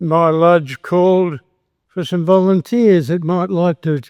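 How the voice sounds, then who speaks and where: Someone with an Australian accent speaks at a very slow pace. The sound is dry and close with no echo. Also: man. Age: 80s+. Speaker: retired accountant and Freemason. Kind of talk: after-dinner speech. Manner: halting.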